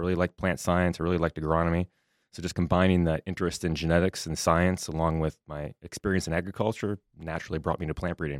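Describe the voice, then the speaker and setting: A man with a Minnesota accent talks at a very fast pace in a very deep, low pitch with monotone, flat intonation. The recording is very clean with a silent background and a dry, close sound with no echo. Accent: Upper Midwest (Minnesota) American. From southwest Minnesota. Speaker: soybean breeding professor. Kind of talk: interview.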